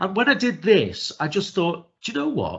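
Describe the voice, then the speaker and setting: A man talks with a Liverpool accent. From northern England, Liverpool. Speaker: neurodiversity trainer. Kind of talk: webinar presentation. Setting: video call. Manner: fast.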